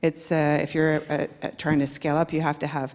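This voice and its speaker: A woman with an American accent and a very deep, low pitch, at a very fast pace, on a very clean recording with a silent background. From United States. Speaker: panelist, award jury member. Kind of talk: panel discussion.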